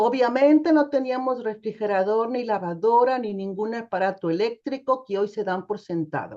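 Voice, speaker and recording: The voice is a normal speaking voice with lively intonation at a moderate pace. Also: woman. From Mexico, Nayarit. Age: 60s. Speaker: theologian. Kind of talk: testimony.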